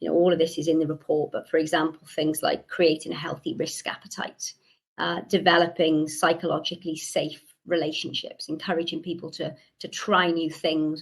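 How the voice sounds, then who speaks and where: The speaker has a Welsh accent. The pace is moderate and the intonation is flat and monotone. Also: woman. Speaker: researcher presenting a report. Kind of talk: conference presentation.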